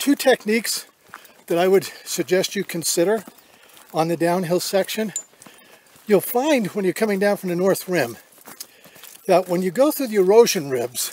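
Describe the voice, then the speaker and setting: Against noticeable background noise, a man speaks at a moderate pace in a high pitch with lively intonation and long, frequent pauses, the sound dry and close with no echo. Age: 70s. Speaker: hiking vlogger. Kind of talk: tutorial. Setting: outdoors. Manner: halting.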